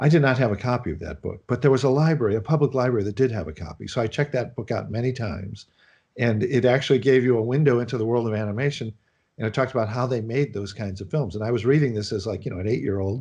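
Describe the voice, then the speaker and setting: Talking at a very fast pace in a Chicago accent, a man with a medium pitch and a dark, mellow, somewhat breathy tone uses ordinary pitch variation against a quiet background. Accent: American Midwest (Chicago). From US Midwest, Chicago. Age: 60s. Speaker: animation film director. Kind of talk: interview.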